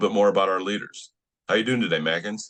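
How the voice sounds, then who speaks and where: A man with an American accent speaks with a very deep, low pitch. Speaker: trading community leader, interviewer. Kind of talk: interview. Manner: casual, hesitant.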